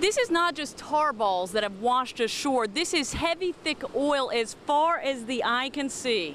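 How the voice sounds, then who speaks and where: Against noticeable background noise, a woman talks at a fairly slow pace and a high pitch, with lively intonation and hardly any pauses. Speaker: TV news anchor and reporter. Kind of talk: TV news reporter package.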